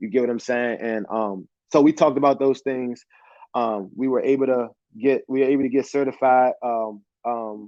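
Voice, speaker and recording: With an American accent, a man speaks at medium pitch and a moderate pace, his intonation fairly even. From Washington DC. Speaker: former college football player and youth educator. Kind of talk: interview. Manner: halting, many fillers and restarts.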